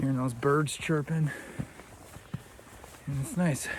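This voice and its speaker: With noticeable background noise, a man speaks at a fairly high pitch in fairly even intonation. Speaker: hiking vlogger. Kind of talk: casual vlog. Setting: outdoors on a forest trail.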